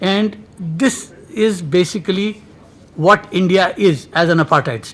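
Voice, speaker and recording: Amid noticeable background noise, a man talks at a fairly slow pace in a high voice with ordinary pitch variation. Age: 60s. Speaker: seminar moderator. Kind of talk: conference opening remarks.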